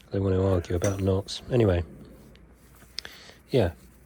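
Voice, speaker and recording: There is noticeable background noise as a man speaks in a monotone, flat way. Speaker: knot-tying instructor. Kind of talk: tutorial.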